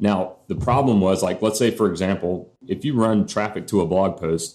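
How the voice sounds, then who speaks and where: A man talks at a fairly quick pace with a fairly low pitch and fairly even intonation, a plain, everyday voice. The recording is very clean, with a silent background. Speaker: marketing expert. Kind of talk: interview.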